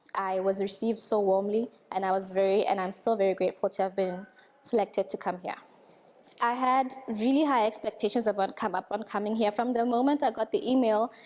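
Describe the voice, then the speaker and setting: A woman speaks with a Tswana accent at a fairly high pitch. Her pace is fairly quick and her intonation fairly even. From Botswana. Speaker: radiation technician trainee. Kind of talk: testimonial.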